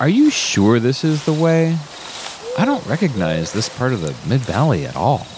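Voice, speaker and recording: Against noticeable background noise, a man speaks in a nervous tone with very wide pitch swings. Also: medium pitch for a man, moderate pace. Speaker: radio host. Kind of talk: radio DJ patter. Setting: party, broadcasting from a robot party. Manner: rambling, self-deprecating, nervous, halting.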